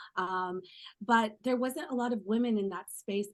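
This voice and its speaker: A woman with an American accent and an ordinary speaking voice talks at a moderate pace over a quiet background. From California. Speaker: travel journalist. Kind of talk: panel discussion answer. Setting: virtual event call. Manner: earnest, conversational.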